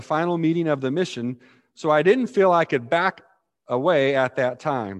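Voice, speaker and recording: An ordinary speaking voice, a man's, fairly high in pitch with lively intonation, at a moderate pace over a quiet background. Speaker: pastor. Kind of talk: sermon. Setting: church.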